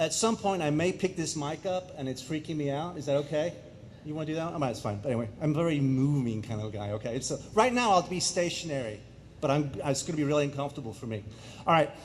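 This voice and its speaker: Very fast, lively speech from a man with an American accent at a fairly high pitch, with audible room echo. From England, then Germany and US Midwest. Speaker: public speaker. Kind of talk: presentation to audience. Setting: stage with audience.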